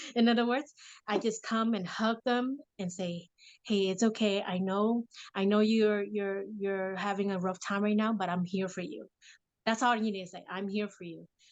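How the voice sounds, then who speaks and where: At a moderate pace and medium pitch, a woman with a Vietnamese accent speaks with fairly even intonation against a quiet background. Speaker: mother and affirmation speaker. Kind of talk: casual interview chat.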